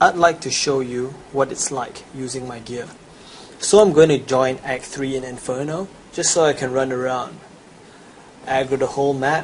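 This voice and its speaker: A man with a Chinese accent speaks at a medium pitch and a moderate pace, leaving long, frequent pauses. His intonation is fairly even, his loudness swings widely, and noticeable background noise is present. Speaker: gamer. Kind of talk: sales pitch.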